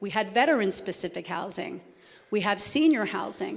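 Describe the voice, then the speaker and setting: In a New Jersey accent, a woman speaks at a moderate pace with a medium pitch. Her intonation is lively, and room echo is audible. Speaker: homeless services administrator. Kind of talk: Q&A after a talk. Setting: church event with audience.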